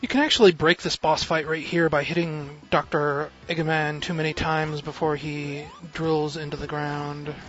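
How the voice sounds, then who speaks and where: Mumbling in a monotone, flat intonation comes through noticeable background noise. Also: man, fairly high pitch for a man, moderate pace. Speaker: video game streamer. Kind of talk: live gameplay commentary. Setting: live stream at home.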